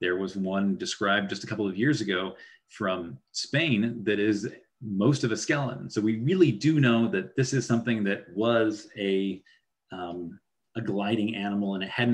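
This is an unremarkable speaking voice from a man at a fairly low pitch with ordinary pitch variation. He keeps a moderate pace over a quiet background. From Idaho. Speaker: paleontology professor. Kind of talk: lecture. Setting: video call. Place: home room. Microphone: webcam.

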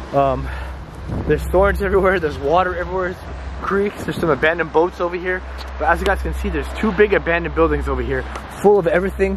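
Over noticeable background noise, a man talks at a very fast pace with very wide pitch swings, and the sound is dry with no echo. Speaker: vlogger exploring abandoned places. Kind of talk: casual vlog chat. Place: open country. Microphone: phone near.

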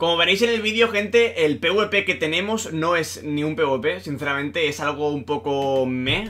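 The man's voice is fairly high for a man and rises and falls in a lively way. He goes at a fairly slow pace with hardly any pauses. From Spain. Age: 20s. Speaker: gaming YouTuber. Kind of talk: gameplay commentary; video intro to viewers. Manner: animated. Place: home room. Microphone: webcam.

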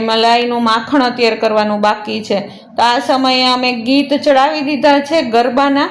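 Her pitch is high for a woman, and her intonation is fairly even. Audible room echo and noticeable background noise surround this woman's voice. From Saurashtra, Gujarat. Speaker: family vlogger. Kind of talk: vlog narration.

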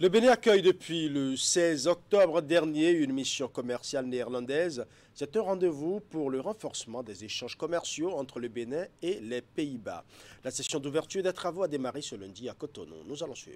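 Lively intonation and big swings in loudness mark a man's fairly high-pitched voice. He speaks at a moderate pace. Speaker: TV news anchor. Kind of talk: news reading. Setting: studio. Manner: formal. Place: studio.

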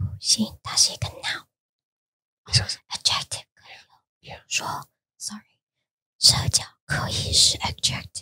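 A woman whispers at a fairly slow pace, with long, frequent pauses. Her loudness swings widely, and the sound is dry and close with no echo. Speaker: podcast co-host. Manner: whispered.

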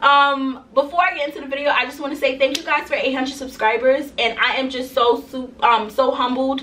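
With hardly any pauses, a woman projects a raised voice in fairly even intonation over light background noise. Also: moderate pace. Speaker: small business owner vlogger. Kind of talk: casual vlog chat. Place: home room.

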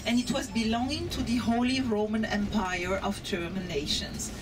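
Clear background noise runs behind a woman speaking at a moderate pace. Her medium pitch carries lively intonation.

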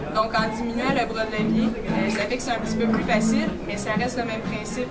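Over music in the background, a woman speaks at a fairly quick pace. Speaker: kinesiologist instructor. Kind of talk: tutorial. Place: gym. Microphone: camera far.

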